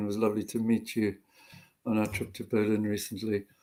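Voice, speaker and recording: A man with a South African accent and a dark, mellow tone speaks at a moderate pace. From South Africa, Johannesburg. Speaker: retired doctor and activist. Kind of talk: interview. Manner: halting.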